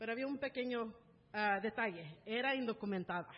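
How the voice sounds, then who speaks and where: At a moderate pace, a woman with an unremarkable speaking voice and fairly high pitch talks with lively intonation. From California, USA (born in Mexico City, moved at about 3). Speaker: church member sharing her life story. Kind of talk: testimony.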